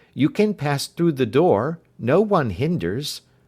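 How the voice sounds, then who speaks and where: Using a put-on character voice, a man speaks at a fairly high pitch with very wide pitch swings. His pace is fairly slow. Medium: read story. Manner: whispered, fearful.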